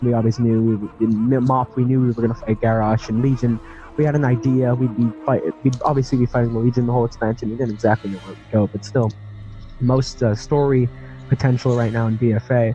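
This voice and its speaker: A man at medium pitch, very fast and monotone with flat intonation, over music in the background. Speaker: gaming content creator, podcast guest. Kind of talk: interview answer.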